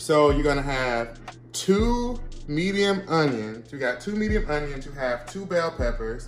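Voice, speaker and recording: Faint music plays in the background. Audible room echo is present. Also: man. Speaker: home cook vlogger. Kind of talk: casual cooking vlog chat. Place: kitchen.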